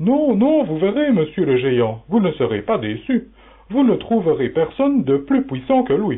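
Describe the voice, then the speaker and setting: Putting on a high-pitched character voice, a man talks at a moderate pace with very wide pitch swings. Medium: audio drama.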